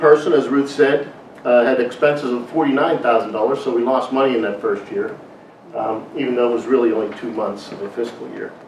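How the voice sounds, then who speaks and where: Over noticeable background noise and audible room echo, a man talks at a fairly quick pace. His pitch is medium and his intonation fairly even. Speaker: chief financial officer. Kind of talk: corporate address. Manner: fast.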